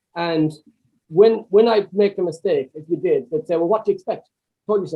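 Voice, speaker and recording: The speaker has an Irish accent and a fairly quick pace. Pitch variation is ordinary. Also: man. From Swinford, County Mayo, Ireland. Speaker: property investor and trainer. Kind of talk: podcast interview answer.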